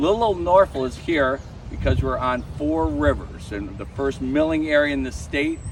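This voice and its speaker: A loud man with an American accent at a moderate pace, amid noticeable background noise. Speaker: tour guide and local historian. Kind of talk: guided walking tour talk. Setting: outdoors with a tour group.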